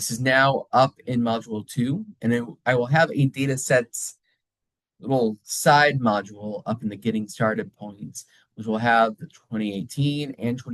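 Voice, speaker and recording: A man against a quiet background. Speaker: college instructor. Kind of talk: recorded lecture. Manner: slow; casual, conversational. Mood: encouraging, reassuring. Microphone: webcam.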